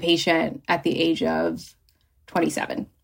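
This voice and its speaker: A woman's bright, sharp voice with vocal fry and an American accent, at a moderate pace. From New Jersey. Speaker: nurse and patient advocate. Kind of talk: interview, personal story.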